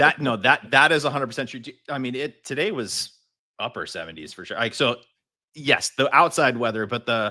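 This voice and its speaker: A man with an American accent speaks at a fairly quick pace and medium pitch, with lively intonation and big swings in loudness. His tone is bright and sharp, with vocal fry. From Southern California (Irvine). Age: 50s. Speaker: car detailing educator and video creator. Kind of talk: casual interview chat.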